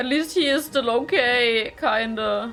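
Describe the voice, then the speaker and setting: Music plays in the background as a woman with a German accent speaks in a fairly high voice. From Germany. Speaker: reaction youtuber. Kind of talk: reaction commentary.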